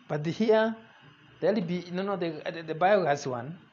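The man's delivery unfolds at a fairly slow pace. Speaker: demonstrator of the experiment. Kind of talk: explanatory commentary. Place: kitchen. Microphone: camera far.

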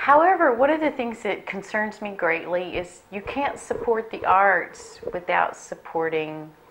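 A woman's fairly high voice at a fairly slow pace, with very wide pitch swings, hardly any pauses and light background noise. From South Mississippi; Mississippi. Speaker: art professor. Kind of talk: interview. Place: home room.

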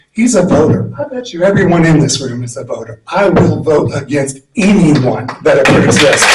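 Using an ordinary speaking voice, a man speaks at a moderate pace with a fairly high pitch. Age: 60s. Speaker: resident giving public comment. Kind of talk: public comment at county meeting.

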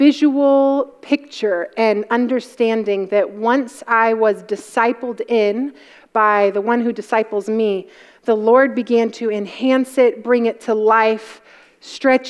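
The intonation stays fairly even as this woman talks. Nothing much can be heard behind her. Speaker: conference speaker. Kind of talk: sermon and spoken prayer. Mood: earnest, reverent. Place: hall.

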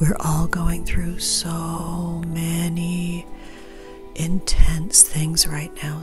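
Over clear music in the background, a woman with a fairly low pitch speaks at a very slow pace in a monotone, flat intonation. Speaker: witch, tarot reader. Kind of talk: ASMR Q&A, answering viewer questions. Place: home room.

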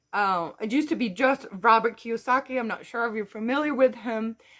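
Against a quiet background, a woman talks at a fairly high pitch with a Dutch accent. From Netherlands. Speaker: YouTuber and online entrepreneur. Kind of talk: vlog monologue. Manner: hesitant with many fillers. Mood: upbeat, encouraging. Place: garden. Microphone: phone near.

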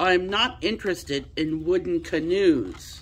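A put-on character voice at a middle pitch is raised and projected, moving at a fairly slow pace. Clear background noise runs underneath. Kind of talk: read-aloud storytelling. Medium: read story. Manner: gruff, pompous. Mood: grumpy.

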